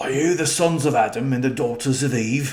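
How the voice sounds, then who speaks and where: Quiet and raspy, a man does a put-on character voice at medium pitch and a moderate pace. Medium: read story. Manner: hushed, urgent.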